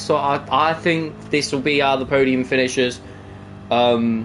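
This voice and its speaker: Man at a moderate pace amid noticeable background noise. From England, East Midlands (Nottingham). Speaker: sim racing commentator. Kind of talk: live commentary. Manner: animated.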